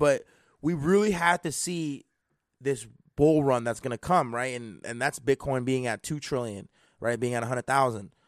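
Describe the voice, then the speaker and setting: In an ordinary speaking voice, a man talks with lively intonation over a quiet background. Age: 20s. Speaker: crypto podcast host. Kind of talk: casual chat. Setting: live stream.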